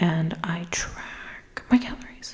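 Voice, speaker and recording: There is noticeable background noise as a woman whispers. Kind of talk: ASMR what's in my bag. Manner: whispered, close up.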